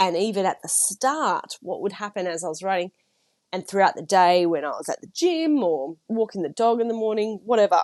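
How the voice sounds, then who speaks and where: A woman with an Australian accent at a medium pitch and moderate pace, in a dry, close sound with no echo. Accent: Australian twang. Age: 30s. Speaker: podcast host and writer. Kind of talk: casual solo podcast chat. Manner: chatty, filler-heavy.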